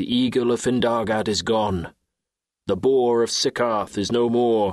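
A plain, everyday voice from a man, with medium pitch, fairly even intonation and a fairly slow pace. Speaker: audiobook narrator. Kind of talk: audiobook narration of a funeral lament.

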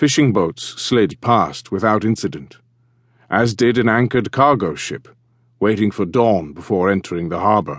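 Against a quiet background, a man with an ordinary speaking voice talks at a fairly low pitch with lively intonation. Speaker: audiobook narrator. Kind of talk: dramatic audiobook narration of naval history, building suspense. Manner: measured, suspenseful storyteller pacing that slows toward the reveal; crisp, precise delivery of dates, times and foreign names.

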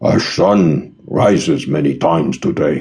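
A man growls out a put-on character voice at a very deep, low pitch and a fairly slow pace.

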